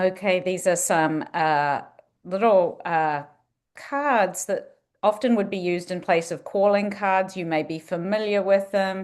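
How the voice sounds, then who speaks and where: A woman speaks at a fairly slow pace in a medium pitch with ordinary pitch variation. The background is quiet. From New Zealand. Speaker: museum director. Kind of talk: presentation with slides.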